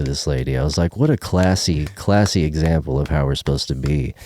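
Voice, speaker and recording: A man with a Texan accent talks at a fairly quick pace in a dark, mellow tone, recorded dry and close with no echo. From Texas, Dallas area. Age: 40s. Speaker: singer-songwriter. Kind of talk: casual chat. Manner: animated.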